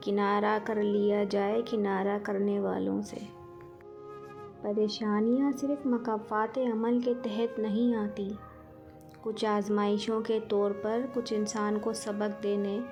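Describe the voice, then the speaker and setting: Music plays in the background as the speaker talks in a monotone, flat intonation. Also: woman, fairly high pitch for a woman. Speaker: poetry and quotes narrator. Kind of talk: Islamic quotes and poetry reading.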